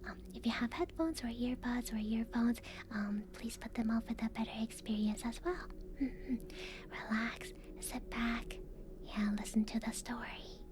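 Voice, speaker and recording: Soft-spoken and fairly slow, a woman talks at a fairly high pitch against noticeable background noise. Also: lively intonation. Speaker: VTuber ASMR streamer. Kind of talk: casual live-stream chat.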